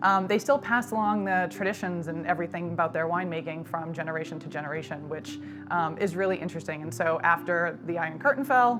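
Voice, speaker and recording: In an American accent, a woman with a fairly low pitch races along at a very fast pace with very wide pitch swings and hardly any pauses, music playing in the background. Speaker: wine importer. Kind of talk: casual chat. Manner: frequent filler 'um'.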